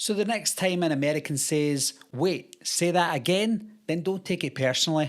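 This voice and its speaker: A man with lively intonation speaks at a moderate pace on a very clean recording with a silent background. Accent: Scottish. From Scotland. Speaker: YouTuber, horror film commentator. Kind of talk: casual talk to camera.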